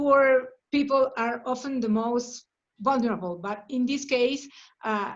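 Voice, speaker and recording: A woman with a Spanish accent speaks at a very slow pace and a high pitch, with ordinary pitch variation and a quiet background. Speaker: workshop facilitator. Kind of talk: group discussion. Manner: halting, many fillers and repetitions.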